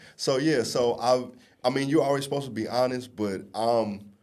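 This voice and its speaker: A man's fairly even intonation amid audible room echo. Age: 30s. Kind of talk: casual chat.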